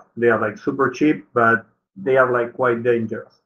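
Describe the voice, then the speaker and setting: The speaker is a man with a non-native accent. His voice sounds bright and sharp. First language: not English. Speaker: workshop tutor. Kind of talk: online tutorial. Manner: halting.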